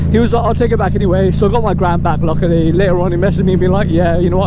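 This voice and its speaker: A man talking very fast with hardly any pauses and very even loudness, amid noticeable background noise and audible room echo. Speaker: motorcycle vlogger. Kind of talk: casual storytelling vlog while riding. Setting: riding a motorcycle outdoors. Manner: animated.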